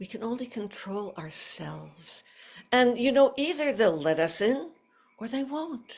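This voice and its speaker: A woman's pitch swings very widely. She speaks at a fairly slow pace. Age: 80s+. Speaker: storyteller. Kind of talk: live storytelling performance. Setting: story slam performance. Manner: animated.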